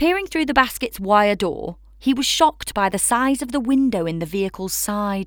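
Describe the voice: What we hear is plain reading aloud.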